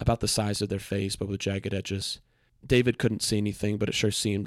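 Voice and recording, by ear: Natural-voiced reading aloud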